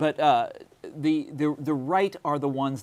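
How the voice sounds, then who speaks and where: A man with a Midwestern US accent speaks at a moderate pace in a fairly high pitch, with ordinary pitch variation. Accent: US Midwest. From Kansas. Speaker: author. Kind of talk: interview. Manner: halting.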